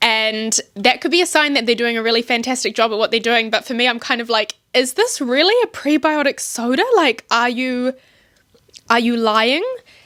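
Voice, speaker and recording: At a moderate pace, the woman speaks in a high register. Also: ordinary pitch variation. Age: 20s. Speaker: podcast host. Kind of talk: casual chat. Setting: bedroom. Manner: casual, rambling pace with fillers. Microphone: self-recorded, audio may be poor.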